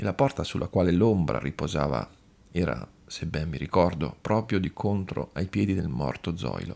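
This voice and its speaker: A man's dramatic delivery, very deep and low in pitch, with a dark, mellow tone and lively intonation. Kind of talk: scripted narration, audiobook reading of a horror tale. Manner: slow, hushed, ominous, with eerie dramatic pauses building dread.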